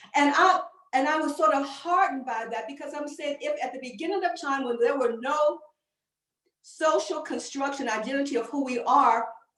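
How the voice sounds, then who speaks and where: A woman with a high pitch speaks at a moderate pace. Room echo is audible. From US Midwest, Chicago. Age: 60s. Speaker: faith leader, panelist. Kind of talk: panel discussion talk.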